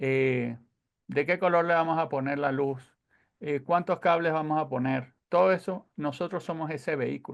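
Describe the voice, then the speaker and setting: Against a quiet background, a man with a Venezuelan accent speaks at a moderate pace in a fairly high pitch with ordinary pitch variation. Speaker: sound engineer. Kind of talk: lecture.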